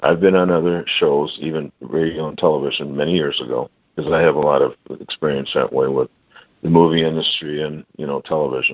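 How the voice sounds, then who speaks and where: This is a man speaking. He has an American accent. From Michigan, Detroit. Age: 60s. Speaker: inventor and product seller. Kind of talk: interview. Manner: halting.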